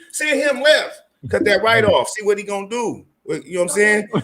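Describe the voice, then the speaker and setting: A man with an American accent speaks loudly in a high voice at a moderate pace. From California. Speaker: basketball player and coach. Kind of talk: casual chat. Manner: animated.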